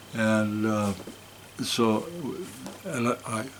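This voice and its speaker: A man speaks with a Canadian prairie accent. Noticeable background noise runs behind him. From Saskatchewan, Canada (Saskatoon). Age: 70s. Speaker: musician and retired school principal. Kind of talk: interview storytelling. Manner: animated.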